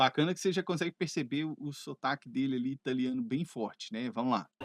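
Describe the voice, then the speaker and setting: A man talks at a very fast pace with ordinary pitch variation. The sound is dry and close with no echo, over a quiet background. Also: fairly high pitch for a man. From Brazil (Minas Gerais), living in Canada. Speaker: English teacher. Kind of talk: educational video lesson to camera. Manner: conversational, friendly.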